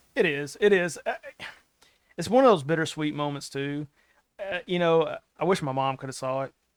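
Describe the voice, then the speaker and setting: A man's fairly high voice at a moderate pace, with ordinary pitch variation, long and frequent pauses, and a dry, close sound with no echo. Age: 40s. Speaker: author and wrestling promoter. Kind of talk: casual chat.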